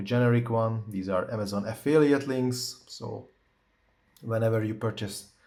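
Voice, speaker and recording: In a non-native accent, a man speaks at a moderate pace and medium pitch, with a dark, mellow tone and fairly even intonation. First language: not English. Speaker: tech reviewer. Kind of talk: tutorial. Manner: halting, many fillers; casual.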